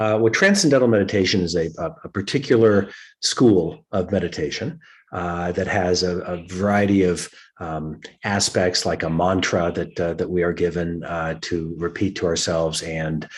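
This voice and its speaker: The man's voice is very deep and low, moving at a moderate pace with ordinary pitch variation over a quiet background. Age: 60s. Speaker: executive coach and meditation teacher. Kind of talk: interview. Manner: halting, many fillers.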